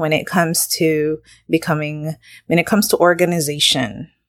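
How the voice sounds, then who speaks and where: A woman with a very deep, low pitch is heard in a very clean recording against a silent background. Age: 40s. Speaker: podcast host and social worker. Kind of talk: solo podcast monologue. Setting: home. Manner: casual, with fillers.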